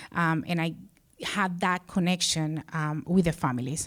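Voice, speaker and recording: A woman with a Spanish accent is recorded very cleanly against a silent background. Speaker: social services director. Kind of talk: personal storytelling on stage. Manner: halting, many fillers.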